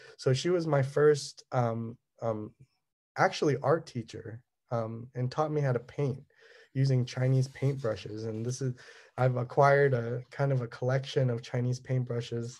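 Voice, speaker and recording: A man with a Californian accent talks at a medium pitch and a moderate pace, somewhat breathy and fairly even in intonation, in a very clean recording with a silent background. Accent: Californian American English. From Southern California. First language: Cantonese. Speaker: artist. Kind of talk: artist talk presentation. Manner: halting, many fillers.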